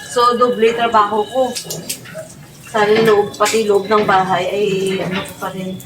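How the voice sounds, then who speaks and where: Her voice is fairly high, monotone and flat, moving at a fairly slow pace with long, frequent pauses. The woman is heard with audible room echo and noticeable background noise. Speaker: vlogger. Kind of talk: casual vlog. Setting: outdoors. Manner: louder to cover background music.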